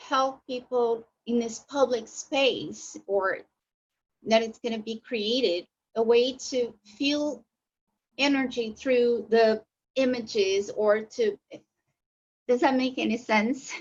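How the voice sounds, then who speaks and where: Speaking very slowly with a non-native accent, the voice leaves long, frequent pauses and shows ordinary pitch variation. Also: woman. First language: not English. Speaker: workshop participant. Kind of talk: question to panel. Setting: video call. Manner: halting.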